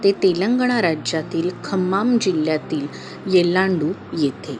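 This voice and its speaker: Music plays in the background. A soft-spoken woman talks at a fairly low pitch with ordinary pitch variation. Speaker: storyteller, narrator. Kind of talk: devotional story narration. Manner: soft-spoken, calm.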